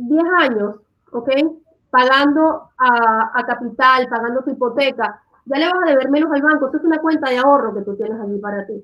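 Her pitch high and her intonation lively, a woman speaks at a moderate pace. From Venezuela. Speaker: real estate team leader. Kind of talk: livestream chat.

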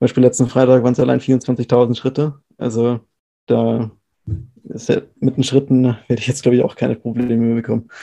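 A man with a dark, mellow tone at medium pitch speaks at a fairly quick pace in a monotone, flat intonation. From Bavaria, Regensburg. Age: 20s. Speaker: calisthenics athlete. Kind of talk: casual chat.

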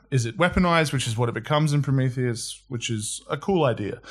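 The recording is very clean, with a silent background. A man speaks at medium pitch, somewhat breathy, with ordinary pitch variation. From Australia. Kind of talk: casual chat.

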